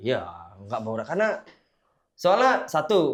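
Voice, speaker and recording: A man at a very fast pace and high pitch, in a very clean recording with a silent background. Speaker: podcast guest. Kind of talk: casual chat. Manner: animated, joking.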